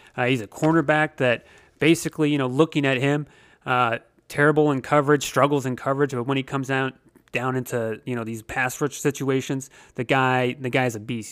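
A man speaks in an ordinary speaking voice at medium pitch and moderate pace. His intonation is fairly even, and the recording is very clean with a silent background. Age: 30s. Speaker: sports podcast host. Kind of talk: solo podcast analysis. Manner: casual with frequent fillers.

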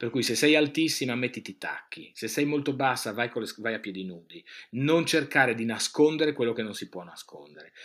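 An ordinary speaking voice from a man at medium pitch, fairly quick, with ordinary pitch variation, big swings in loudness, and a very clean recording with a silent background. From northeastern Italy, Friuli (province of Udine). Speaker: radio host and fashion expert. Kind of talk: interview.

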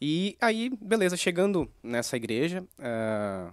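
A man's pitch swings very widely. The background is silent and the recording very clean. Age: 20s. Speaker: church worship musician. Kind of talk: casual chat.

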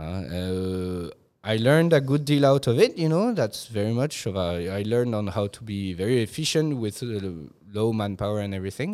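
A man with a French accent and a dark, mellow, medium-pitched voice speaks at a moderate pace with lively intonation. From Hong Kong, French family. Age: 30s. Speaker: hotel manager. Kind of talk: interview.

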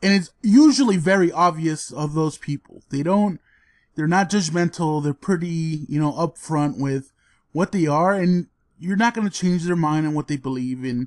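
In a normal speaking voice, a man with a fairly high pitch and ordinary pitch variation talks at a moderate pace, the sound dry and close with no echo against a quiet background. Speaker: podcast co-host. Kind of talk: casual banter podcast.

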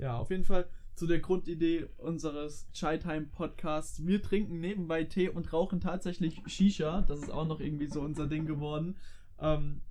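Fairly high in pitch, a man speaks at a moderate pace with fairly even intonation and a dark, mellow tone. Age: 20s. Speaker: student and podcast co-host. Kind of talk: casual chat.

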